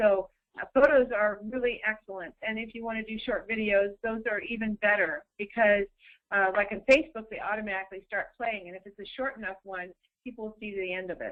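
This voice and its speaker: A woman talks at a fairly quick pace in an unremarkable speaking voice with a fairly high pitch. Her intonation stays fairly even while her loudness swings widely. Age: 60s. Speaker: social media consultant. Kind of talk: webinar presentation.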